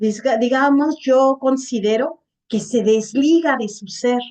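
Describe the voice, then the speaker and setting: A woman talks very slowly in a high voice with a dark, mellow tone. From Mexico. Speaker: gerontologist and webinar speaker. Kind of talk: webinar Q&A answer.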